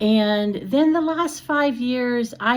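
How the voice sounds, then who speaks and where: The pitch of this woman's voice swings very widely. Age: 60s. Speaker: retired teacher. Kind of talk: personal vlog talk. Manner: casual, with fillers and self-corrections.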